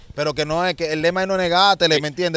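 Over a dry sound with no echo, a man speaks at a very fast pace with fairly even intonation. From Dominican Republic. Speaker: former street criminal; interview guest. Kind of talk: interview testimony. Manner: halting, repetitive. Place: street. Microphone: handheld.

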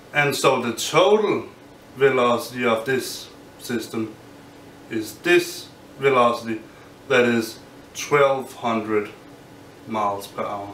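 Amid light background noise and audible room echo, a man speaks at a very slow pace with long, frequent pauses and ordinary pitch variation. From Denmark. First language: Danish. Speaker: physics graduate student. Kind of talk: explainer tutorial; lecture. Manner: halting. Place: home room.

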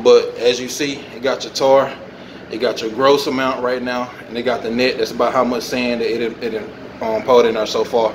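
Over noticeable background noise, a man talks in a flat monotone. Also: moderate pace. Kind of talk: tutorial. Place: factory. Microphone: phone near.

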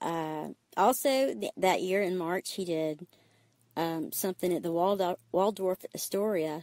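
With an Alabama accent, the speaker has a dark, mellow tone and ordinary pitch variation, recorded in a dry, close sound with no echo. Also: woman. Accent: Southern US (Alabama). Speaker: parent interviewed by her child. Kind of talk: casual storytelling interview.

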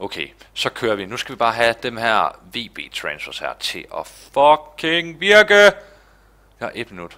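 With a bright, sharp tone, a man speaks at a very slow pace, his pitch swinging very widely and his loudness rising and falling in big swings. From Denmark. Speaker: gaming YouTuber. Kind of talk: let's play commentary. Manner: animated. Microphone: headset.

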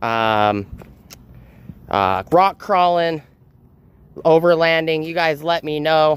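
A man with a high pitch speaks at a very slow pace. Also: dry sound with no echo. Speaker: tool vlogger. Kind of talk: casual vlog chat. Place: street. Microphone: phone near.

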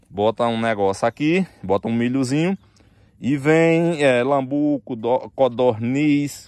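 A man with a fairly high pitch speaks at a very slow pace with lively intonation. The sound is dry with no echo, and the background is quiet. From rural Northeast Brazil (sertão). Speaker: construction vlogger. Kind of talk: casual vlog. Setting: outdoors. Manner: animated. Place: open country. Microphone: phone near.

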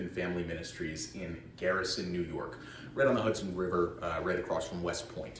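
A man's very deep, low voice with an American accent at a fairly quick pace, with audible room echo and light background noise. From Connecticut (Middletown); Connecticut. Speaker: parishioner giving witness talk; witness. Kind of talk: testimony. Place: hall. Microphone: handheld.

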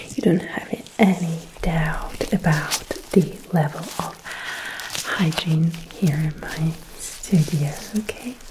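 Over noticeable background noise, a woman is soft-spoken. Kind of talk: ASMR role-play talk. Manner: soft, close ASMR speaking voice. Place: home room. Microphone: studio mic.

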